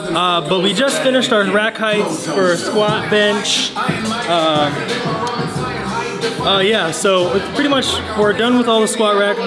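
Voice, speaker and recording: A man's pitch varies in an ordinary way, with music sounding behind him. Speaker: vlogger. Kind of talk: casual vlog chat. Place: gym. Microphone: phone near.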